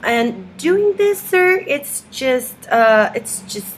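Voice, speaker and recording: A woman's voice at a very slow pace with ordinary pitch variation. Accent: Spanish. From Mexico. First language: Spanish. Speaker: activist vlogger. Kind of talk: video message read from script. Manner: halting, many fillers.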